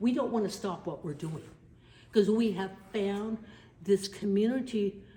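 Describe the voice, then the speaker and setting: Noticeable background noise sits behind a woman with an American accent. She talks at a medium pitch and a moderate pace. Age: 70s. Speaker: army veteran and video documentarian. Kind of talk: testimony. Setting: studio.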